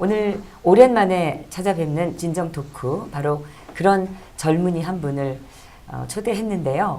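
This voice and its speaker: In a room with audible echo, a woman speaks fairly slowly at a fairly low pitch with ordinary pitch variation. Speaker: talk show host. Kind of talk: monologue introduction. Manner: hesitant with fillers.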